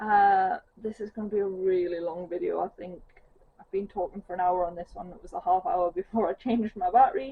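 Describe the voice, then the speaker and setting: Speaking in a strong Geordie accent, a woman uses lively intonation at a medium pitch. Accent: thick Geordie. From northeast England. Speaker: cross-stitch vlogger. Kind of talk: casual chat. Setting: at home on sofa.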